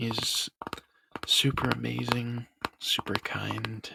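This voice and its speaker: A man whispering, soft-spoken. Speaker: ASMR artist and YouTuber. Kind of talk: ASMR talking and tapping, rambling casual talk to camera. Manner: whispered, soft-spoken.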